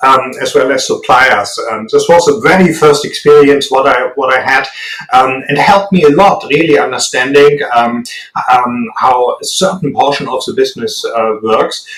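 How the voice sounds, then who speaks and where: With a strong German accent, a man speaks at a moderate pace against noticeable background noise. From Germany. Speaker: business executive. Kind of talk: interview. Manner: hesitant, many fillers.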